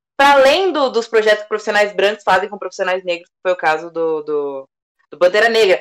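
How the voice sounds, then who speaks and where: A woman with a medium pitch speaks at a fairly quick pace. Her intonation is lively and her loudness swings widely. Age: 20s. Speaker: actress and advertising professional. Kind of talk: casual chat.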